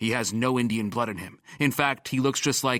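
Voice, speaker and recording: Growling put-on character voice from a man, medium in pitch and at a moderate pace, on a very clean recording with a silent background. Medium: read story. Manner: probing, suspicious.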